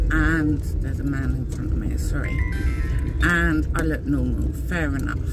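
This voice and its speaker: Music in the background behind a woman's fairly slow pace. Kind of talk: casual vlog rant. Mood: upset, cross, emotional. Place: car. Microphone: phone near.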